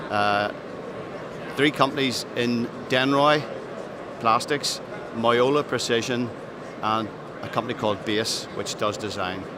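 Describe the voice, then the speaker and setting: A man speaks in a Northern Irish accent at a fairly slow pace, with fairly even intonation and long, frequent pauses. Audible room echo and noticeable background noise are present. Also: medium pitch for a man. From Northern Ireland. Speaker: aerospace business executive. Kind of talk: trade show interview. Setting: trade show floor. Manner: hesitant, many fillers.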